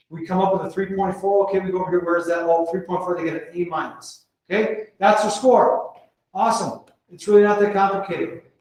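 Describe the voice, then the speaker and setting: A man's voice races at a very fast pace and a high pitch. His intonation is fairly even, and audible room echo surrounds it. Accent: American. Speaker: school principal presenting to colleagues. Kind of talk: conference presentation. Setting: conference room with audience.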